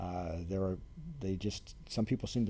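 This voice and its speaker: A man's fairly low, somewhat breathy voice with a dark, mellow tone and an American accent. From Ohio, US Midwest. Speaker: planetarium curator. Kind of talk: interview conversation.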